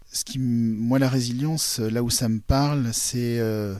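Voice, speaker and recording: A man at a very slow pace, fairly even intonation, on a very clean recording with a silent background. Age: 40s. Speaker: blind consultant and coach. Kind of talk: interview testimony.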